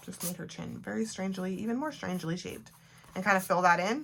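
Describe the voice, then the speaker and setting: A woman's voice at a medium pitch. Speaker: art journaling teacher. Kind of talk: tutorial. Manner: fast; casual.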